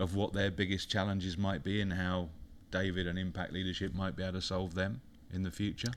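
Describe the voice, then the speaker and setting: This man has a very deep, low pitch and a British accent. His intonation stays fairly even. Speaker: business consultant. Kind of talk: casual interview. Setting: studio.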